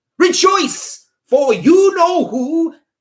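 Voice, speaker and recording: A squeaky, put-on character voice. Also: man. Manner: joyful, gushing, delighted.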